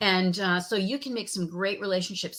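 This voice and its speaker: Medium in pitch, a woman speaks with an energetic tone. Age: 60s. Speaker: professional speaker and speech coach. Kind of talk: interview. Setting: podcast.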